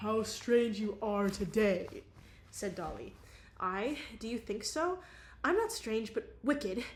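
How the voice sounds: The intonation is lively, carried by a natural reading voice.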